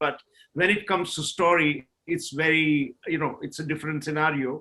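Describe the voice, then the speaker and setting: This man has a Gujarati accent and a bright, sharp tone. He talks at a moderate pace. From India, Gujarat (Kathiawad). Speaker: film director and producer. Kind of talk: panel discussion. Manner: frequent fillers (uh, you know).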